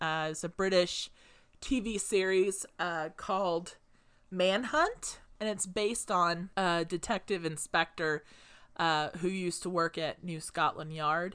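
In a plain, everyday voice, a woman speaks at a fairly slow pace, fairly low in pitch with fairly even intonation, against a quiet background. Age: 30s. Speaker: podcast co-host. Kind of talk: casual chat.

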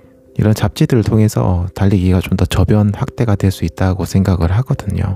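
A man speaks at a moderate pace with a fairly low pitch, a relaxed, calm tone, very even loudness and hardly any pauses. The sound is dry and close with no echo, with noticeable background noise. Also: ordinary pitch variation. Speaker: running youtuber and podcast host. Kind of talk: casual solo monologue. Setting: home recording late at night. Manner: relaxed, calm late-night talk.

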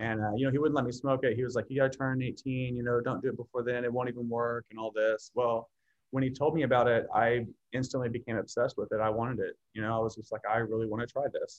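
Speaking very fast in a flat, monotone line, a man with an American accent holds a medium pitch. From Oklahoma City suburbs. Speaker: program participant, former addict. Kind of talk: interview testimony.

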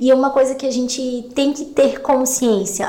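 A woman speaks at a high pitch and a moderate pace. Noticeable background noise and audible room echo are present. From Santa Catarina highlands, Brazil. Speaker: podcast co-host. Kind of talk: casual chat.

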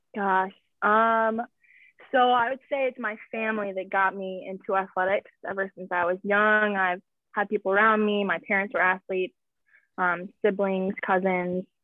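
A woman with an American accent and an unremarkable speaking voice talks at a moderate pace and medium pitch with fairly even intonation. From Wisconsin, US Midwest. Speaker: college volleyball player. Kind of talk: interview. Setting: phone or video call.

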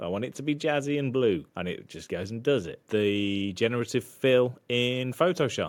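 A man with a British accent, medium pitch and lively intonation, at a moderate pace. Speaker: podcast co-host and video editor. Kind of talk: casual chat. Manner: joking, laid-back.

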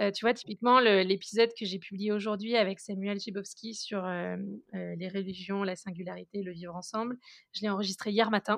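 A woman speaks in a medium pitch at a moderate pace with monotone, flat intonation. Her loudness swings widely. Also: quiet background. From Alsace, France (Strasbourg). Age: 20s. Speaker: podcaster and entrepreneur. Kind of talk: casual interview.

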